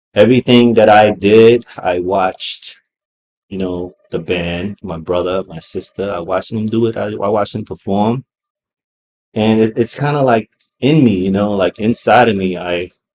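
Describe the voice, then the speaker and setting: A man with a Brooklyn accent speaks at a fairly low pitch and a moderate pace. His intonation is fairly even, and the sound is dry and close with no echo. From Brooklyn, New York, US. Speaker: hip hop artist. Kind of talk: interview.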